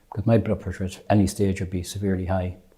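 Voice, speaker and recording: A man with a western Irish accent speaks in a very deep, low pitch with a dark, mellow tone. His delivery is somewhat breathy, with monotone, flat intonation. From Ireland, County Mayo. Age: 70s. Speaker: patient. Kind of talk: testimony. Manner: halting.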